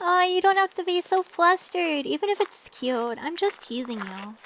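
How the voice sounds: A woman uses a put-on character voice at an extremely high pitch, slow pace and ordinary pitch variation. Her tone is fairly bright, and the sound is dry and close with no echo.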